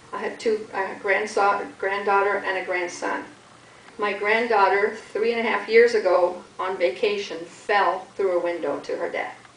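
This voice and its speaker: A woman speaks at a moderate pace and medium pitch with fairly even intonation. Noticeable background noise and audible room echo surround her voice. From Canada. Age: 60s. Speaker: charity fundraiser. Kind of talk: talk to a group about her charity.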